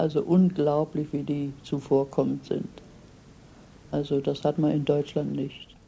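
A woman speaks very slowly with vocal fry, her very deep, low voice dark and mellow and her intonation flat and monotone. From Germany. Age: 80s+. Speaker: retired immigrant. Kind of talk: interview.

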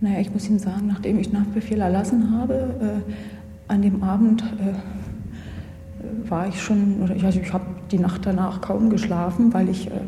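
Noticeable background noise and audible room echo surround the recording. A woman talks at a medium pitch and moderate pace, in a monotone, flat way. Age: 20s. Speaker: former judge. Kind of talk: interview. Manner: halting.

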